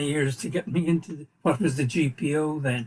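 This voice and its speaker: The voice is somewhat breathy, with an Irish accent and a fairly quick pace. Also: man. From Ireland, Kilkenny. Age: 80s+. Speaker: Irish community leader. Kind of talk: casual interview.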